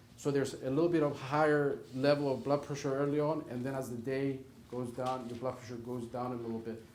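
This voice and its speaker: At a fairly quick pace, a man with a non-native accent talks in a monotone, flat intonation amid audible room echo. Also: medium pitch for a man. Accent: foreign. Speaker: rheumatologist. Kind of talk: Q&A talk to patients. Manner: emphatic, repetitive.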